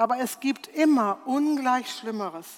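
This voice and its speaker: A woman's lively intonation at a very slow pace. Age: 60s. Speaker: preacher. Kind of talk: sermon.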